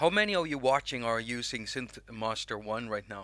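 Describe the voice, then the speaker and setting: A man with a Swedish accent speaks in a bright, sharp tone. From Sweden. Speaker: music app YouTuber. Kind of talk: live stream tutorial chat. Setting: live stream with chat. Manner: casual, halting with restarts.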